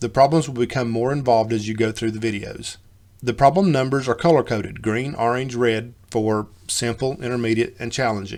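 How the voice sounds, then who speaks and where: Speaking at a fairly quick pace, a man with an Appalachian accent uses a medium pitch and ordinary pitch variation. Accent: Appalachian hillbilly. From US South, Western North Carolina. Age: old. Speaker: coding teacher. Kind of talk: tutorial.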